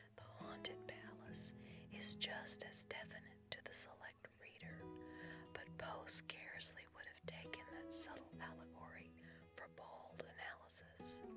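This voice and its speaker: Whispering at a fairly slow pace with music in the background. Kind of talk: ASMR reading of literary essay. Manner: whispered.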